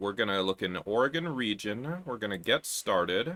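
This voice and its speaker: A man speaks with lively intonation. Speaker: software developer streamer. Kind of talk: coding livestream. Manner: casual, thinking aloud.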